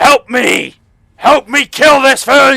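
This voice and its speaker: A man puts on a character voice at an extremely high pitch. He growls as he speaks. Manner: growling.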